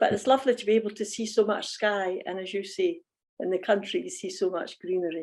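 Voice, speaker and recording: A woman with a Scottish accent speaks at a very fast pace and medium pitch, her intonation lively and her loudness swinging widely, against a quiet background. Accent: Fife Scottish, sing-song. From Scotland, Fife. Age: 70s. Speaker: church member. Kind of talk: casual interview chat. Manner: sing-song intonation.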